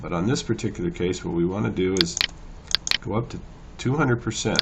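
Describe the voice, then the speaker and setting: A man speaks at a very fast pace in a very deep, low voice. Noticeable background noise runs underneath. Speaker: photo editing tutor. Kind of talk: tutorial. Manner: casual, hesitant with fillers.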